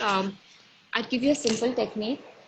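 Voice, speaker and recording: Against noticeable background noise, a woman speaks at a high pitch. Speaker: healer and counselor. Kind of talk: interview on a live video session. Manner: loud.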